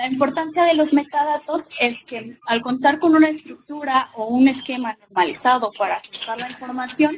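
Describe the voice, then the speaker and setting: This woman's voice is high, and its pitch shifts in a normal way. She talks at a moderate rate. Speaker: librarian and webinar presenter. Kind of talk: lecture. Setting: webinar with live and remote audience.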